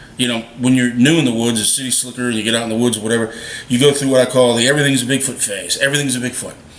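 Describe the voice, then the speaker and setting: A man's animated, medium-pitched voice at a very fast pace, with noticeable background noise. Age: 60s. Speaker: Bigfoot video maker. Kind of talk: casual monologue to camera.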